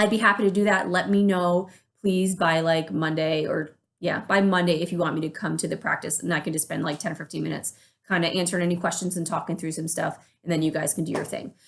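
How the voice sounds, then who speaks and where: Very fast delivery with fairly even intonation. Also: woman, fairly low pitch for a woman. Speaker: church worship leader. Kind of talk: informal team update video.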